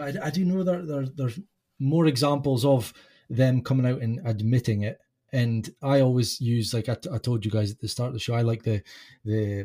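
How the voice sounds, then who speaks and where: A man's somewhat breathy voice, dark and mellow in tone, medium in pitch, at a moderate pace. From UK. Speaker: podcast host, guest. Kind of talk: casual chat. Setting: remote call.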